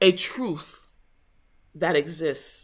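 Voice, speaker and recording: The pace is very slow. The speaker has an English accent. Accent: English-accented Igbo, poor Igbo intonation. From Igbo heritage raised abroad in English-speaking country. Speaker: book study channel host. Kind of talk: book review talk. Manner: hesitant, many fillers.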